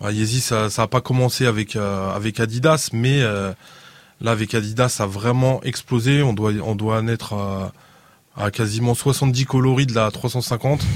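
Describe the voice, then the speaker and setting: A man's unremarkable speaking voice at medium pitch, fairly slow and fairly even in intonation, in a very clean recording with a silent background. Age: 40s. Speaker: sneaker reseller, shop owner. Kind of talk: casual panel discussion.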